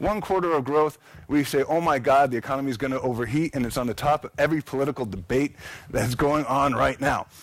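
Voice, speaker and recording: Here a man talks at a very fast pace. His pitch is fairly high, with ordinary pitch variation. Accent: American. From United States. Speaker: architect and conference speaker. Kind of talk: conference presentation. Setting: stage with audience.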